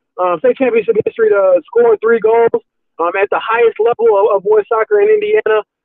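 With fairly even intonation, a man speaks in a high pitch. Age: 20s. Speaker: sports reporter. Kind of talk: casual interview.

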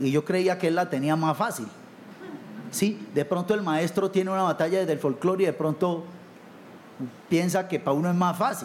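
At a moderate pace, a high-pitched man speaks with ordinary pitch variation, very even loudness and long, frequent pauses. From Colombia, Buenaventura (Pacific coast). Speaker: salsa singer. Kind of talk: panel discussion.

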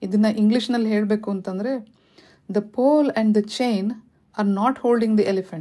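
A woman speaks with a dark, mellow tone at a fairly high pitch. Her intonation stays fairly even. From India, Karnataka (Shivamogga). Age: 40s. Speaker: podcast host. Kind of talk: motivational talk.

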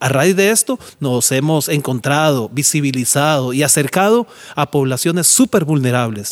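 A man speaks at a fairly high pitch and a moderate pace. His pitch varies in an ordinary way, and the sound is dry and close with no echo. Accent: Costa Rican. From Costa Rica, San José (Pavas). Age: 50s. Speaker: charity founder. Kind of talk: monologue.

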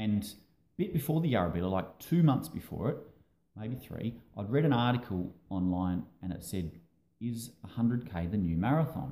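A man with an Australian accent speaks at a moderate pace in a dark, mellow, medium-pitched voice. His pitch swings very widely, broken by long, frequent pauses. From Australia, Adelaide. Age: 40s. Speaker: amateur ultra runner. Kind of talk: casual interview.

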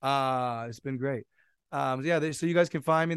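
Fairly high male voice at a fairly quick pace, a normal speaking voice, with a quiet background. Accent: American. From US West Coast, San Jose, California. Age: 20s. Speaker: DJ and music producer. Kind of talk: casual chat.

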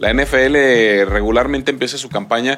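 Keeping his intonation fairly even, a man talks at a very slow pace. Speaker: sports commentator. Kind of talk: sports talk show.

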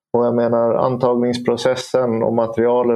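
This is a plain, everyday voice from a man. He has a medium pitch and a moderate pace. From Åland. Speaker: police inspector. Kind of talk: panel discussion.

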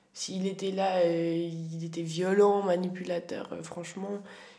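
The voice moves at a very slow pace with fairly even intonation. There is audible room echo and noticeable background noise. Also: woman. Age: 20s. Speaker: young woman sharing family story. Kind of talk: casual interview.

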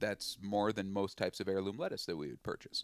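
A man talks with an Upper Midwest accent. His pitch is fairly low. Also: very clean recording, silent background. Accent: Upper Midwest American. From western Minnesota. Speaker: chef and forager. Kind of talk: interview. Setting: outdoors by the water.

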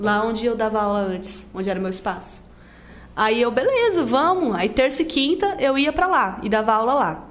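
Audible room echo and noticeable background noise around a woman with a fairly high pitch, very wide pitch swings and a moderate pace. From Rondônia, Brazil (born in Rio Grande do Sul, moved at 7). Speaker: social media influencer and dance instructor. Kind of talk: casual chat.

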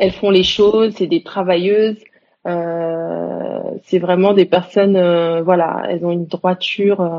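A woman speaks very slowly at a medium pitch. Her intonation is monotone and flat. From Senegal (Dakar). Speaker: psychologist and sexologist. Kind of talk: interview. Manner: halting.

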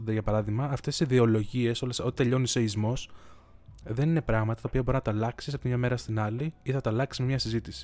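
At a fairly quick pace, a man speaks at medium pitch in a dark, mellow tone with ordinary pitch variation. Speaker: podcaster. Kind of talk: unscripted solo monologue. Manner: long thinking pauses.

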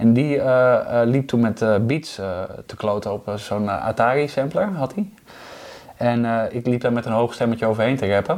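A man talks at a moderate pace with a medium pitch. He has a plain, everyday voice with ordinary pitch variation. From Netherlands, Overijssel. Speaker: musician and singing teacher. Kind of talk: casual chat. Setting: at his home.

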